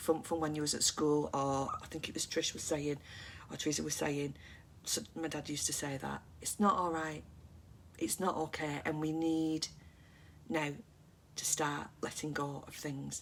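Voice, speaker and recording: A woman in a calm tone, very deep and low in pitch, monotone and flat, at a moderate pace with long, frequent pauses. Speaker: mental health livestream host. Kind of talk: casual livestream chat with viewers. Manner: quiet and calm.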